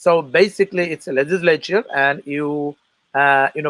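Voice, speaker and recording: In a Bangladeshi accent, a man talks at a moderate pace with a fairly high pitch and ordinary pitch variation, recorded with a dry, close sound and no echo. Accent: foreign accent, Bangladeshi. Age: 40s. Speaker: political candidate and military veteran. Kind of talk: interview. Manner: halting, many fillers.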